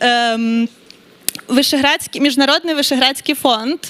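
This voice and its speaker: A high-pitched woman with a Ukrainian accent and fairly even intonation. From Ukraine. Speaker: grant foundation representative. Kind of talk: conference presentation.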